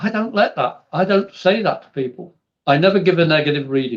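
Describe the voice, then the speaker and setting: With an English accent, this man talks at a moderate pace in a high pitch, his intonation lively. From England. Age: 60s. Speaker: spiritual medium. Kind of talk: podcast interview.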